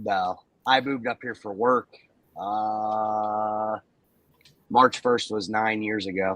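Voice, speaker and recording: In a dry, close sound with no echo, a man with an American accent speaks very slowly at a fairly low pitch, his monotone, flat intonation broken by long, frequent pauses. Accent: northern accent, noticed by southerners. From western Pennsylvania, near Pittsburgh. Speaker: ultrasound equipment technician. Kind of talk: casual chat.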